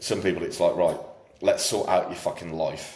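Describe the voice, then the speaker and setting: Delivered at a very fast pace, the speech has audible room echo. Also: man. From UK. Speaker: fitness coach. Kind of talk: casual chat. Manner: loud.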